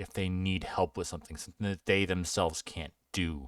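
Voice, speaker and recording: The recording of this man is very clean with a silent background, and the sound is dry and close with no echo. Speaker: tabletop gaming tutorial creator. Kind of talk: tutorial. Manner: casual, halting with fillers.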